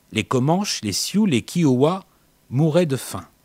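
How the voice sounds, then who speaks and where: Speaking very slowly at a fairly high pitch, a man is heard in a very clean recording with a silent background. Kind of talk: scripted narration. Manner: dramatic, wry.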